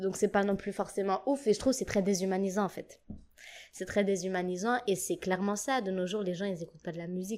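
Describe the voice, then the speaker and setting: Recorded very cleanly against a silent background, a woman speaks in an unremarkable speaking voice at medium pitch, fairly quick and fairly even in intonation. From Djibouti. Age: 20s. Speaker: singer and musician. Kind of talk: casual chat.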